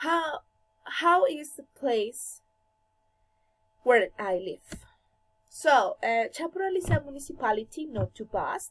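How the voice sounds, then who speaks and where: A woman speaks with a Colombian accent in a high pitch. Her pace is fairly slow, and her pitch swings very widely. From Colombia, Bogotá. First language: Spanish. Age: 20s. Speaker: language student. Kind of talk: class presentation. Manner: halting.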